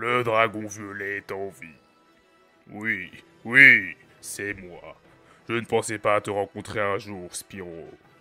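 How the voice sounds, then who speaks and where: Faint music plays behind a man doing a put-on character voice. His pitch is fairly low and his pace fairly slow. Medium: fan dub.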